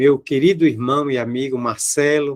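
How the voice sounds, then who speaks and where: In a Bahian accent, a man talks very slowly at a fairly high pitch with fairly even intonation. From Bahia, Brazil (Salvador). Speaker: spiritist lecturer. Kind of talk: public lecture. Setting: video call.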